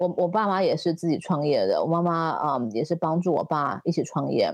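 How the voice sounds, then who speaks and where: Against a quiet background, a woman with a plain, everyday voice speaks at a fairly low pitch and a moderate pace. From Taiwan. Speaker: fashion entrepreneur and designer. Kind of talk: interview.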